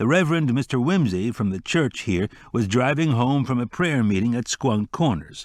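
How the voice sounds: The reading voice sounds natural, with lively intonation.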